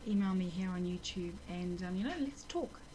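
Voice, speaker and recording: Here a woman speaks with a New Zealand accent. Her pace is moderate and her pitch variation ordinary. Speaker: nurse with multiple sclerosis, video blogger. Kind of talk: personal video diary. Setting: at home. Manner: halting, many fillers.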